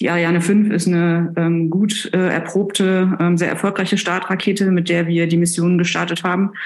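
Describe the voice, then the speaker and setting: Fairly low-pitched woman's voice in a monotone, flat intonation, with very even loudness and hardly any pauses. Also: moderate pace. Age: 40s. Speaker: planetary scientist. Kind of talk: interview. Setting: remote call. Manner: hesitant with fillers.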